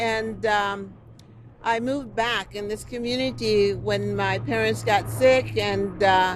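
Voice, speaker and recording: A woman with an American accent speaks at a very slow pace, with music in the background and audible room echo. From South Los Angeles. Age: 60s. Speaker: community resident. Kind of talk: public speech at press event. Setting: outdoor park event.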